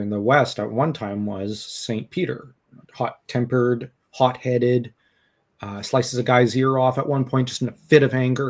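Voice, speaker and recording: Between long, frequent pauses, a man of medium pitch talks with fairly even intonation. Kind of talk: casual podcast discussion. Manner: halting, with many fillers and restarts.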